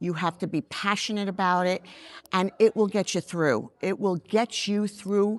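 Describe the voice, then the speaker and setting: A plain, everyday voice moves at a moderate pace with fairly even intonation, the sound dry and close with no echo against a quiet background. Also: woman, medium pitch for a woman. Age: 60s. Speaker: makeup artist and beauty brand founder. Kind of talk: interview.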